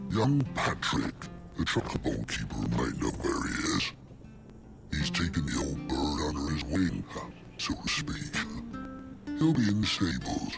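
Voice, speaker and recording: A man performs a cartoonish character voice. Clear music plays in the background. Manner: casual, gossipy.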